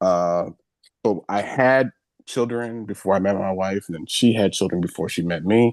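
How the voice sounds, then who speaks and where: A man speaks with a very deep, low pitch and ordinary pitch variation at a moderate pace. The sound is dry and close, with no echo. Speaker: community founder and consultant. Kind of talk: panel introduction on virtual event. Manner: hesitant, many fillers.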